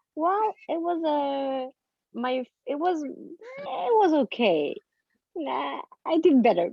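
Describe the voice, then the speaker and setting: With a high pitch and very wide pitch swings, a woman speaks at a very slow pace. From France. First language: French. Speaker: comedian and actress. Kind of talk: casual chat. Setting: video call.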